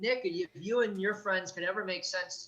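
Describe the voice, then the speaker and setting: A man's raised, projected voice, bright and sharp in tone, at a moderate pace with ordinary pitch variation. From US Midwest, Gary, Indiana. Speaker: abuse survivor and advocate. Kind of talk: interview testimony. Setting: video call. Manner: halting.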